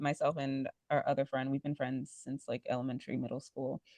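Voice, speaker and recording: A woman speaks with an American accent over a quiet background. The sound is dry and close, with no echo. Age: 20s. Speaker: podcast host. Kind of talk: casual chat.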